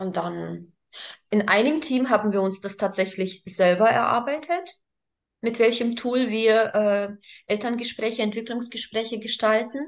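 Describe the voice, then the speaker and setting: A woman speaks with a fairly high pitch. She goes at a fairly slow pace with ordinary pitch variation. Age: 40s. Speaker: daycare group leader. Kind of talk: interview. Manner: halting, many fillers.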